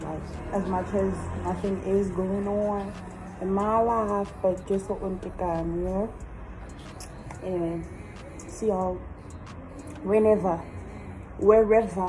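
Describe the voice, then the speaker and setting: A woman speaks at a very slow pace in a monotone, flat intonation, with noticeable background noise and audible room echo. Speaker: student vlogger. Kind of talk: casual vlog monologue.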